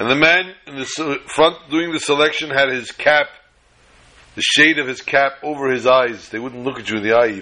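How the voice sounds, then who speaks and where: This man has an unremarkable speaking voice, fairly high in pitch, with ordinary pitch variation, a moderate pace and big swings in loudness. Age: 50s. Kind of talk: storytelling talk.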